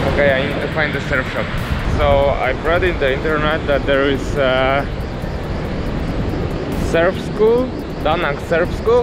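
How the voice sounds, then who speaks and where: The voice moves at a very slow pace with ordinary pitch variation. The sound is dry with no echo, and music plays in the background. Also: man. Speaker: travel vlogger. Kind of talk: casual vlog chat. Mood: disappointed. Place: beach. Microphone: phone near.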